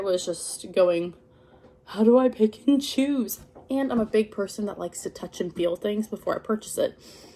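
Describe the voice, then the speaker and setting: A woman's medium-pitched voice at a moderate pace, with ordinary pitch variation, in a very clean recording with a silent background. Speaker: crochet hobby vlogger. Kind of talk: casual unboxing vlog. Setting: at home in living room. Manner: filler words like um.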